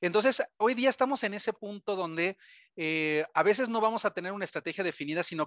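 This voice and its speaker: The voice has a bright, sharp tone and a Mexican accent, moving at a fairly quick pace. The sound is dry, with no echo. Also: man, quiet background. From Mexico. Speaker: cybersecurity vendor presenter; presenter. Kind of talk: webinar presentation. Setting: webcast. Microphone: video call.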